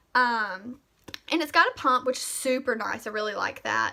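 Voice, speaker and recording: A woman with a Southern US accent projects a raised, high-pitched voice with a bright, sharp tone, ordinary pitch variation and a moderate pace. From US South, Mississippi. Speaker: beauty vlogger. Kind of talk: product review tutorial. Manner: casual, many fillers.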